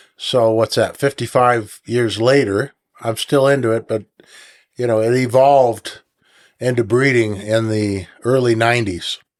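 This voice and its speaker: With an American accent, an ordinary speaking voice moves at a fairly slow pace with fairly even intonation on a very clean recording with a silent background. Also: man, medium pitch for a man. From Northern California. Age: 60s. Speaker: falconer and raptor breeder. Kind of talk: casual interview.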